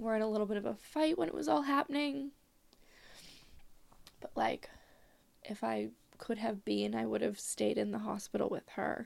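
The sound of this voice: A woman talks with fairly even intonation at a fairly high pitch. Her tone is slightly mellow, with vocal fry.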